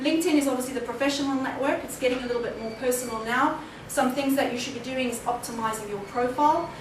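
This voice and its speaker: Delivered at a very fast pace with hardly any pauses and fairly even intonation, the speech has audible room echo and noticeable background noise. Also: woman, high pitch for a woman. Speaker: keynote speaker on social media. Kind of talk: conference presentation.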